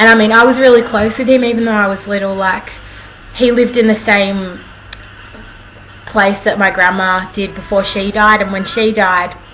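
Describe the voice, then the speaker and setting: Amid noticeable background noise and audible room echo, a woman with an Australian accent speaks at a medium pitch with fairly even intonation and long, frequent pauses. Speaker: vlogger. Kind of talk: casual storytelling vlog. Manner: fast.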